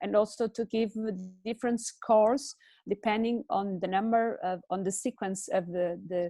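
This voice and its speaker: This woman speaks with a Portuguese accent in a fairly high pitch, her dark, mellow tone carrying lively intonation at a moderate pace, with a dry, close sound and no echo. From Portugal. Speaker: handball development expert. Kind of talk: webinar discussion. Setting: video call. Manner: halting, many fillers.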